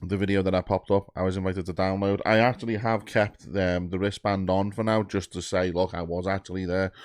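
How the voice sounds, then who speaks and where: Against a quiet background, a man with an English accent rattles along very fast with hardly any pauses, his very deep, low voice keeping a monotone, flat intonation. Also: dry, close sound with no echo. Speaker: YouTube music reactor. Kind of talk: casual vlog monologue. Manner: hesitant, many fillers.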